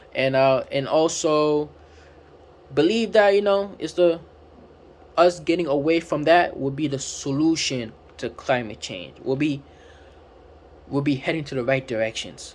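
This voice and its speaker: A man's fairly high voice with ordinary pitch variation and a non-native accent, at a fairly slow pace, broken by long, frequent pauses. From Africa. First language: not English. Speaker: book reviewer. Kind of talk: casual book review talk. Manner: halting, many fillers.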